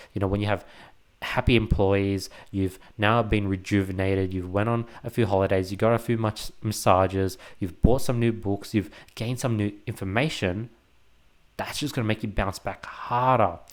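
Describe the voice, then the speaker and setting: The recording is very clean, with a silent background. A man speaks at a moderate pace with fairly even intonation. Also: fairly low pitch for a man. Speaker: entrepreneur podcaster. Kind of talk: casual monologue. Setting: at home. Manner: occasionally stumbling, filler words.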